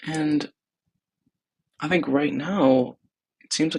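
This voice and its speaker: A man's voice comes through with a dry, close sound and no echo. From Texas. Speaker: startup founder. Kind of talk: personal video diary. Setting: apartment, thin walls. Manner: soft-spoken; casual, hesitant.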